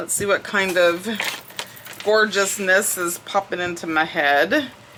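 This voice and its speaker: A woman speaks with a Southern US accent at medium pitch. Noticeable background noise can be heard. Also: ordinary pitch variation, fairly slow pace. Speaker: crafting YouTuber. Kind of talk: casual crafting tutorial chat.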